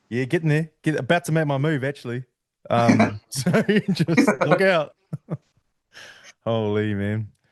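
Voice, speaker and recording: Speaking in a New Zealand accent at a fairly high pitch, a man uses lively intonation and a fairly slow pace with long, frequent pauses, in a dry, close sound with no echo. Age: 30s. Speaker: podcast host. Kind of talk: casual chat.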